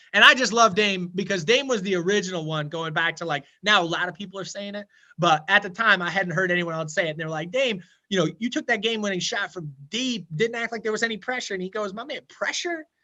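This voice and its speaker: A man speaks at a very fast pace in a high, raised, projected voice with a bright, sharp, animated tone. His pitch variation is ordinary, and the background is quiet. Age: 30s. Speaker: financial advisor. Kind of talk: casual chat.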